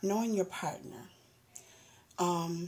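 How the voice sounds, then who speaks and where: A woman's dark, mellow tone comes through at a very slow pace, somewhat breathy and fairly low in pitch. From US South. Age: 40s. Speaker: vlogger. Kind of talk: personal testimony. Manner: halting, many fillers.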